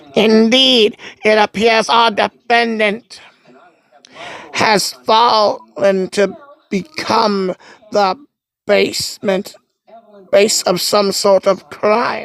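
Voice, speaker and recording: A woman uses a put-on character voice with a fairly high pitch, a monotone, flat intonation and very even loudness. She goes at a very slow pace with long, frequent pauses, in a dry, close sound with no echo. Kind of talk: fan dub of game text. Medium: solo performance. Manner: formal, smug.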